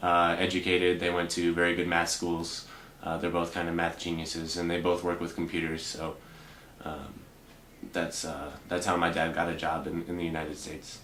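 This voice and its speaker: In a room with audible echo, a man talks at a moderate pace with a very deep, low pitch and monotone, flat intonation. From Boston, US. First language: Russian. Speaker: bank teller. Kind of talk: interview. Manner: halting.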